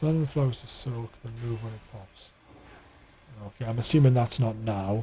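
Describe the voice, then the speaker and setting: Over noticeable background noise, a man talks at a moderate pace with fairly even intonation. His loudness swings widely, and he takes long, frequent pauses. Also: medium pitch for a man. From northeast England, South Shields. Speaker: video game streamer. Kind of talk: live gameplay stream chat. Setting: live stream. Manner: casual, halting with restarts.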